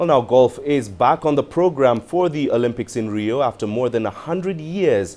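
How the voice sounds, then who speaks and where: Music plays in the background as a man talks at a moderate pace with lively intonation. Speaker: sports news presenter. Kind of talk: news reading. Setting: studio. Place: studio. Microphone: lapel.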